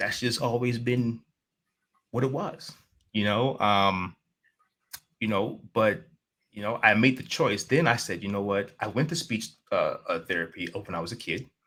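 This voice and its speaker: Speaking in a New York accent, a man uses a medium pitch with ordinary pitch variation and a bright, sharp tone, keeping a moderate pace broken by long, frequent pauses. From New York City, Queens. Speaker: life coach and motivational speaker. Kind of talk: interview conversation.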